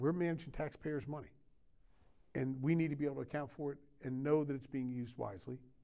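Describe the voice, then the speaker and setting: A man with an American accent talks at a very fast pace in a dark, mellow tone with fairly even intonation, broken by long, frequent pauses. The background is quiet. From US Mid-Atlantic (Maryland). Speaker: county sheriff. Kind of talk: interview conversation. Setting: studio. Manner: halting, many fillers. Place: studio.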